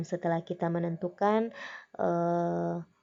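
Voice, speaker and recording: A woman is speaking. She has a Makassar accent. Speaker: teacher. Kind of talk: lecture.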